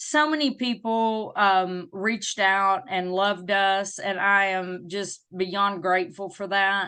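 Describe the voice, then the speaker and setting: A woman speaks very slowly in a Southern US accent, her tone bright and sharp. Her pitch varies in an ordinary way, and the background is quiet. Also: medium pitch for a woman, hardly any pauses. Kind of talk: interview. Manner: animated.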